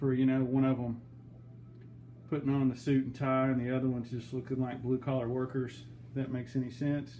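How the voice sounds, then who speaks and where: A man's dark, mellow, somewhat breathy voice in a Western Kentucky accent, flat and monotone at a moderate pace. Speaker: aquarium hobbyist vlogger. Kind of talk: casual video update.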